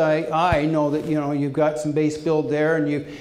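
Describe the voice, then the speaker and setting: A man with a fairly high pitch at a moderate pace, with noticeable background noise and audible room echo. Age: 60s. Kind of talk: panel Q&A answer. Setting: dinner meeting with audience. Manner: halting, many fillers.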